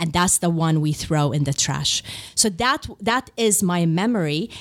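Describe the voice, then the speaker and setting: A woman's fairly low-pitched voice at a moderate pace, with noticeable background noise. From Middle East. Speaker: leadership speaker and coach. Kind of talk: interview.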